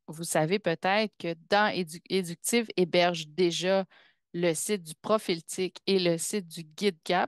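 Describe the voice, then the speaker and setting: A woman with a fairly low pitch speaks at a very slow pace, her intonation fairly even but her loudness swinging widely. The sound is dry and close with no echo, and the background is quiet. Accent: Quebec. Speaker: pedagogical counsellor, community of practice facilitator. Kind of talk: webinar presentation. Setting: video call webinar with screen sharing.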